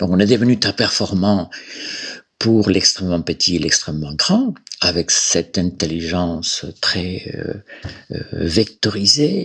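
This man has a very deep, low voice. He speaks at a very slow pace with long, frequent pauses. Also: ordinary pitch variation. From Galicia, Spain. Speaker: clinical psychologist. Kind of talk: interview. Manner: halting, with many repetitions.

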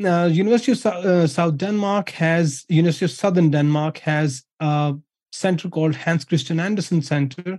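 A man with a Pakistani accent speaks in a dark, mellow tone at a high pitch, with ordinary pitch variation and a dry, close sound with no echo. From Pakistan, Punjab. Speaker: academic researcher, former naval officer. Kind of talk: interview. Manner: many fillers and repetitions.

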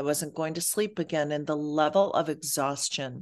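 In a Midwestern accent, a woman with a very deep, low pitch speaks at a fairly slow pace with fairly even intonation over a quiet background. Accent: American Midwest. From Michigan, US. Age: 50s. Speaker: life coach and author. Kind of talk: interview.

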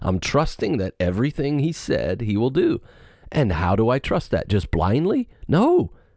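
A man speaks at medium pitch with a dark, mellow tone, vocal fry and very wide pitch swings. His loudness is very even, his pace moderate, and the background quiet. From West Virginia. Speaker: pastor. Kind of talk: casual theological discussion.

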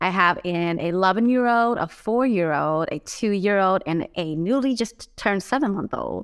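A woman speaks in a Californian accent at a moderate pace. She hardly pauses at all. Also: medium pitch for a woman. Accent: Californian American. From Los Angeles. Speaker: mental health advocate and nonprofit founder. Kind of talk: casual interview.

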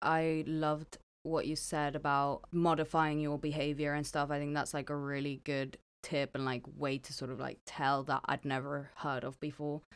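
A woman speaks at a moderate pace with a slight non-native accent, her pitch very deep and low and her intonation flat and monotone. The recording is very clean, with a silent background. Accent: slight foreign accent in English. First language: not English. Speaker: podcast co-host. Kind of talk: casual chat.

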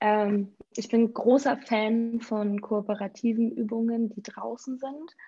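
The speech comes at a very slow pace, somewhat breathy, with a dark, mellow tone. Intonation stays fairly even while loudness swings widely. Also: woman, fairly high pitch for a woman. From Schleswig-Holstein, near Preetz. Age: 30s. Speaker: youth volunteer program coordinator, former teacher. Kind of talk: podcast interview.

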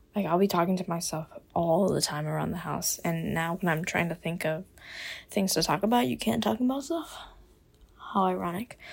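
The speaker has an American accent, vocal fry and lively intonation. The pace is fairly quick, with long, frequent pauses. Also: woman, fairly low pitch for a woman. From US South, Miami, Florida. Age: 20s. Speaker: podcast host, college student. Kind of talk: casual monologue. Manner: casual, filler-heavy.

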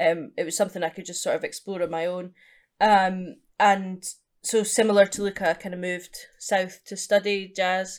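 A woman's flat, monotone voice in a Scottish accent, medium in pitch, at a moderate pace with big swings in loudness, in a very clean recording with a silent background. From eastern Scotland, Edinburgh area. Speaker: jazz musician. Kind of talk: interview.

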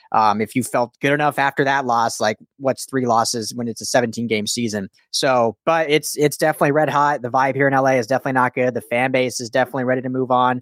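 A man at a medium pitch, with fairly even intonation, a very fast pace and hardly any pauses, in a dry, close sound with no echo. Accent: American. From Denver, Colorado. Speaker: football podcast host. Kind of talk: casual sports chat.

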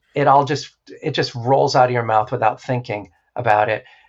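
A somewhat breathy male voice. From New Hampshire, US. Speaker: therapist and former stage performer. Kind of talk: interview.

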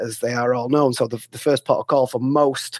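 A man speaks with a northern English accent at a medium pitch. His intonation is monotone and flat, and the sound is dry and close with no echo. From northern England. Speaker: author. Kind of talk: interview. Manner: halting.

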